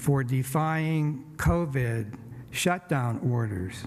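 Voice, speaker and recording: A man's fairly high voice with lively intonation and audible room echo. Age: 70s. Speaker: city council candidate. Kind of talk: campaign speech. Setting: church event.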